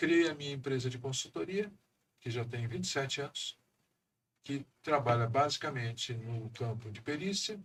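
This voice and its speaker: A somewhat breathy man with a fairly high pitch speaks at a moderate pace. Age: 60s. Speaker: economist and council president. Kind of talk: podcast interview.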